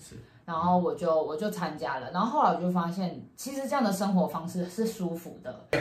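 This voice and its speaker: A woman speaks fairly quickly at a fairly low pitch, her intonation lively and her loudness swinging widely. Noticeable background noise sits behind her. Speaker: podcast co-host. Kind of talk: casual chat.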